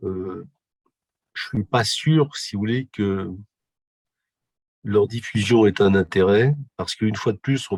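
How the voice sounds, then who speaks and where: A man's fairly low-pitched voice with ordinary pitch variation, in a dry, close sound with no echo on a very clean recording with a silent background. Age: 60s. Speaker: physiotherapist and humanitarian volunteer. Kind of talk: interview. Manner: hesitant, many fillers.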